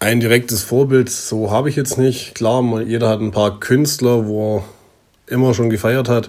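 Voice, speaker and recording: A man talks at a moderate pace in an unremarkable speaking voice. His pitch sits in the middle range, and his intonation is fairly even. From southern Germany, near Stuttgart. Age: 20s. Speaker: singer-songwriter. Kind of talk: self-interview. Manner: casual.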